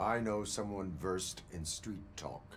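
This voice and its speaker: In a put-on character voice, a man talks with a very deep, low pitch at a fairly slow pace. Background noise is clearly audible. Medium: video game. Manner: flat, monotone, formal.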